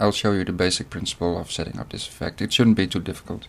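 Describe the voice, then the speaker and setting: A man with a Dutch accent speaks at a fairly low pitch with ordinary pitch variation. The recording is very clean, with a silent background. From Netherlands. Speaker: video editing tutorial maker. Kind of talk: tutorial. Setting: screen recording.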